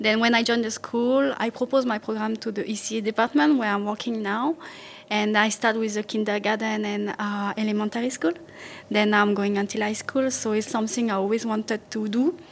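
A fairly high female voice in a French accent, with noticeable background noise. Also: fairly even intonation, fairly quick pace. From France, Paris region (Yvelines). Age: 20s. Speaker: school activities coordinator and gymnastics coach. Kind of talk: interview.

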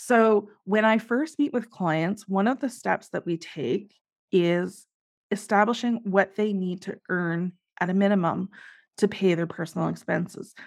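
A woman with a Canadian accent uses an ordinary speaking voice at medium pitch, talking at a fairly slow pace with ordinary pitch variation against a quiet background. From Canada. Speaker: accountant and business finance coach. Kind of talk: interview.

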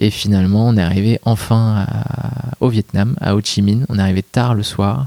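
The voice has a dark, mellow tone and ordinary pitch variation, with a dry, close sound and no echo. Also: man, fairly low pitch for a man, moderate pace. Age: 30s. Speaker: management consultant, disaster witness. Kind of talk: testimony interview. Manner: halting.

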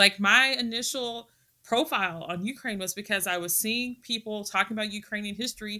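This woman's fairly high voice has a bright, sharp tone and a Texan accent. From Texas. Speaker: historian and Russia-Ukraine researcher. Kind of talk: casual interview chat.

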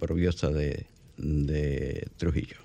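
This is a man's voice. It has a dark, mellow tone. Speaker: radio host and journalist. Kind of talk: radio talk show.

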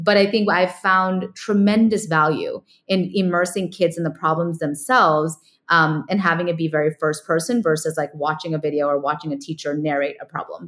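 On a very clean recording with a silent background, an ordinary speaking voice with an American accent moves at a fairly quick pace with ordinary pitch variation. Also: woman, fairly low pitch for a woman. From California. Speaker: ed tech founder and former teacher. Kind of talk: interview.

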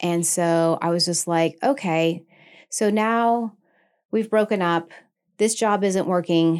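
Very slowly and with long, frequent pauses, a woman with an American accent speaks at a fairly low pitch, with ordinary pitch variation and very even loudness, on a very clean recording with a silent background. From Maine, US (South Portland). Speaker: nurse anesthetist and yoga instructor. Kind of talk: interview. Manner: animated.

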